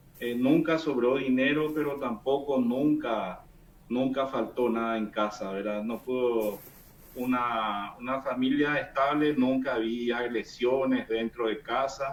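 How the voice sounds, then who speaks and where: With a Paraguayan accent, a man talks at a very slow pace in a medium pitch. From Paraguay, interior. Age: 40s. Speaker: engineer giving testimony. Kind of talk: testimony. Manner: halting.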